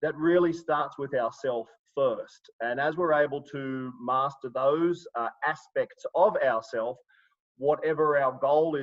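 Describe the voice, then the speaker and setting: At a fairly slow pace, a man with an Australian accent talks in a fairly high pitch. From Sydney, Australia. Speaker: life coach and trainer. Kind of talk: live webinar presentation. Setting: online video webinar. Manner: hesitant, many fillers.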